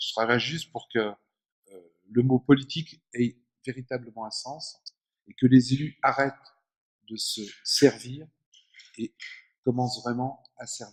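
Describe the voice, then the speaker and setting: A man of medium pitch talks at a very slow pace, with long, frequent pauses. His intonation is monotone and flat, and his loudness swings a lot. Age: 60s. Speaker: former politician, author and speaker. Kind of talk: public lecture. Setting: conference hall with audience.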